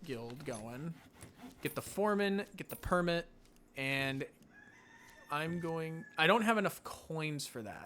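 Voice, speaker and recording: A man's fairly high voice, bright and sharp in tone, with lively intonation. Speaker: gaming youtuber. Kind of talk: let's play commentary.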